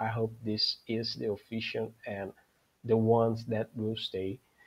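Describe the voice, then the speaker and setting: A man's somewhat breathy voice at a very slow pace. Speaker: football podcast host. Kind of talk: solo livestream talk. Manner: halting, with many fillers and restarts.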